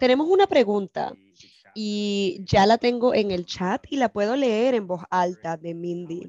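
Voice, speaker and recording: A woman at a very slow pace, dry sound with no echo. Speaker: webinar moderator. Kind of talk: moderating. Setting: video call. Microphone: video call.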